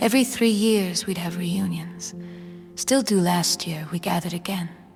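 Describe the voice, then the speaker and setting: Music plays in the background as a woman talks at a moderate pace. Her pitch is fairly low. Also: ordinary pitch variation. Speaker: confectioner. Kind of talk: interview answer.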